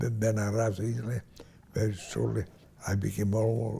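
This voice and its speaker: The man's voice sits at a fairly low pitch. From Hungary/Romania (Transylvania). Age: 90s. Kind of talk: interview answer, recounting life story. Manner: slow, halting.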